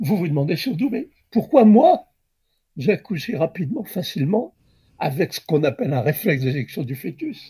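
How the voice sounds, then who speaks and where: A man with a high voice makes very wide pitch swings on a very clean recording with a silent background. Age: 80s+. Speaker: obstetrician. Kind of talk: interview answer. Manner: slow, digressive.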